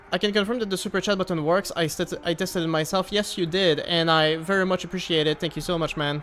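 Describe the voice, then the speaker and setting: With a Quebec accent, a man with a high voice talks at a very fast pace with hardly any pauses, fairly even intonation, and very even loudness. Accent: French Canadian accent in English. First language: French. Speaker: gaming streamer. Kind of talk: casual live stream gameplay chat. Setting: live stream. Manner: casual, hesitant with many fillers.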